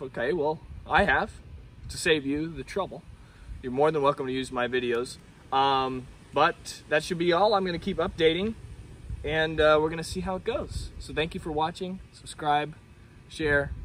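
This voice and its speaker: Light background noise and a dry sound with no echo frame a man speaking at a moderate pace with ordinary pitch variation. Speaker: video creator. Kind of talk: casual vlog chat. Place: garden.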